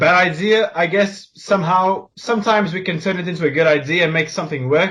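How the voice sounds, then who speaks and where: Speaking at a very fast pace, a man has a high pitch with ordinary pitch variation. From Portugal. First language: Portuguese. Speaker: podcast co-host, video creator. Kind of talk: casual chat.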